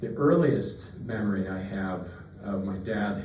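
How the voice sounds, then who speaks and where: A man's fairly low voice is heard with audible room echo and noticeable background noise. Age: 60s. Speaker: son of the deceased giving eulogy. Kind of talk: eulogy. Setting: funeral service. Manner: halting.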